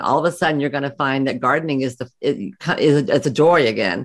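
A woman talks at a fairly quick pace in a Southern US accent, her pitch very deep and low. The recording is very clean, with a silent background. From US South. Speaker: psychotherapist and practice coach. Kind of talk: interview.

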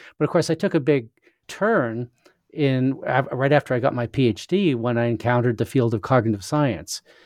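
With a Canadian accent and an ordinary speaking voice, a man talks at a moderate pace and medium pitch with ordinary pitch variation, recorded dry and close with no echo against a quiet background. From Western Canada (Saskatchewan). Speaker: philosopher and author. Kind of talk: interview.

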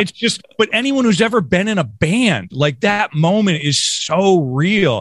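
A man speaks at a fairly slow pace in a high voice, his pitch swinging very widely while his loudness stays very even and he hardly pauses at all. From Western New York, Rochester. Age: 40s. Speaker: podcast host, musician. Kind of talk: casual interview.

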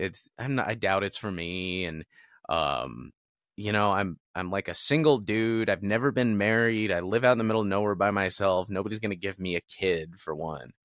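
In an American accent, a plain, everyday voice moves at a moderate pace on a very clean recording with a silent background. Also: man. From US West Coast (Southern California suburbs). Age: 40s. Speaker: content creator and marketing business owner. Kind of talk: casual interview chat.

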